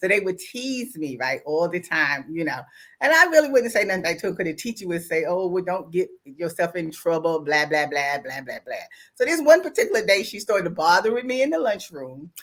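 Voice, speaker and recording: A woman speaks at a fairly quick pace and a medium pitch. Her tone is animated, with very wide pitch swings. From US South. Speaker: online talk show host. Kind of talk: casual chat.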